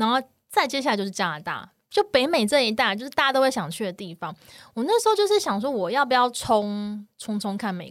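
On a very clean recording with a silent background, a woman with a Taiwanese accent speaks at a fairly quick pace and fairly high pitch with lively intonation. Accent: Taiwanese Mandarin. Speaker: wildlife photography podcast host. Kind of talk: casual chat.

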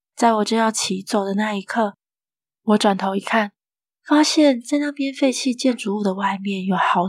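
At a moderate pace, a woman talks at medium pitch in a normal speaking voice. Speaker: horror story narrator. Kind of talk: scripted horror story narration, first-person tale read aloud. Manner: storytelling, calm and suspenseful with a playful sing-song ending particle.

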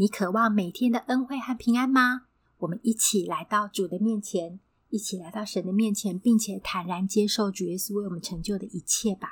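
A woman speaks at a moderate pace in a somewhat breathy voice, recorded very cleanly against a silent background. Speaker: podcast host, Bible devotional. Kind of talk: devotional talk and scripture reading.

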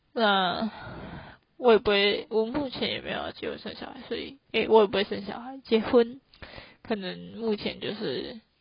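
Fairly slow and marked by vocal fry, the voice has fairly even intonation and big swings in loudness. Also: woman, fairly high pitch for a woman. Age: 20s. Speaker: solo podcast host. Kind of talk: casual monologue.

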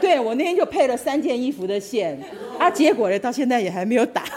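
A woman speaks in a high pitch with very wide pitch swings. Noticeable background noise can be heard. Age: 60s. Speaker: knitting hobbyist at a craft camp. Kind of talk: personal sharing.

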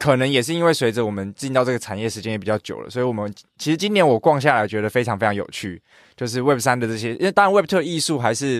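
A medium-pitched man talking at a very fast pace. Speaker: podcast co-host. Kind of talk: casual chat. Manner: laughs often, uses fillers.

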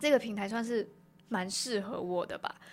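A woman's medium-pitched voice moves fairly quickly, its pitch varying in an ordinary way. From Malaysia. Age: 20s. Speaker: podcast host. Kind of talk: solo casual monologue. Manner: chatty, with fillers and hesitations.

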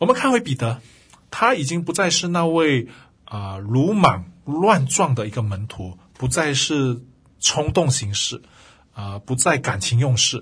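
Against a quiet background, a man speaks at a medium pitch with very wide pitch swings. He keeps a fairly slow pace. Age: 40s. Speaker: Bible teacher and podcast host. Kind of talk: devotional Bible teaching. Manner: many filler sounds, hesitant.

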